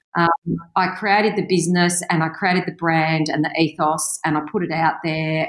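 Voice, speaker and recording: A woman speaks at a fairly low pitch with an Australian accent. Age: 50s. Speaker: real estate agency owner. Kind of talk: interview. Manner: animated.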